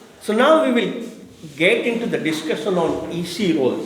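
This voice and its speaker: Noticeable background noise and audible room echo fill the clip. A man speaks at a fairly slow pace with very wide pitch swings. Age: 60s. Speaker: toastmaster of the day, club meeting presenter. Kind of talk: educational talk at club meeting.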